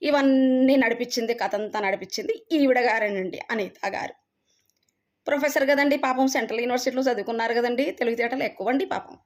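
This woman's voice is high-pitched. Its pitch moves in an ordinary way. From Telangana. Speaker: university lecturer. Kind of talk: vlog monologue. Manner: animated.

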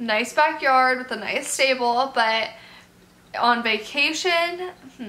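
With a raised, projected voice, a woman speaks very slowly at a high pitch, with ordinary pitch variation, big swings in loudness and long, frequent pauses. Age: 18. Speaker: animal youtuber. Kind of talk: casual Q&A vlog. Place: home room.

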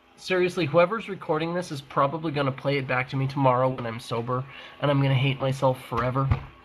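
Noticeable noise runs under the recording. The man's voice sits fairly high in pitch. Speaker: online gamer. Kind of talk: casual chat. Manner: halting.

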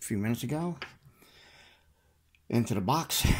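A man speaks softly. His intonation is lively. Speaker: lockpicking hobbyist. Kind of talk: tutorial. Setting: at home at night. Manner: soft-spoken. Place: home room. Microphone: phone near.

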